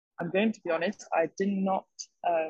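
A somewhat breathy woman's voice of medium pitch, dry and close with no echo. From French-English, raised abroad. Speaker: fashion management student. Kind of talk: podcast interview.

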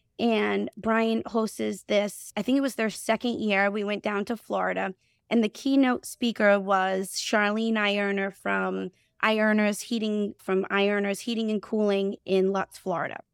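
Very clean recording with a silent background and a dry, close sound with no echo: a woman at medium pitch with a Boston accent, moderate pace and fairly even intonation. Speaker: HVAC company CEO and co-owner. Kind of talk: casual podcast interview.

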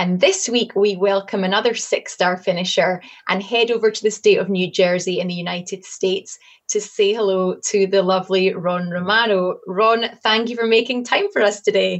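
Moderately paced speech from a woman, her pitch in the middle range and her intonation fairly level. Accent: Scottish. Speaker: communications executive, interviewer. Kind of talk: casual interview.

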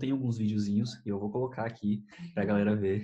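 This man's voice has a dark, mellow tone and is somewhat breathy. His pitch varies in an ordinary way. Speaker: YouTuber and podcast host. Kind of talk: casual chat.

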